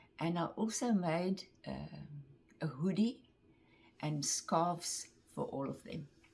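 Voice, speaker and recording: Vocal fry marks this woman's fairly low-pitched voice. She speaks at a very slow pace with long, frequent pauses. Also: ordinary pitch variation. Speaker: craft vlogger. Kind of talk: casual show-and-tell vlog.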